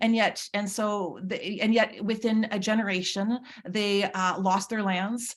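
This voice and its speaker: Woman of medium pitch, fairly slow pace and monotone, flat intonation. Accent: Manitoban. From Manitoba, Canada (Red River Métis). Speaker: nursing professor. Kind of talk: conference presentation. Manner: halting.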